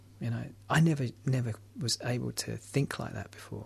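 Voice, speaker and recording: A man with a London accent speaks at a fairly quick pace. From London, England. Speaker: recovering alcoholic sharing story. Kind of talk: personal testimony in radio interview. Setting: radio studio. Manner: hesitant, many fillers.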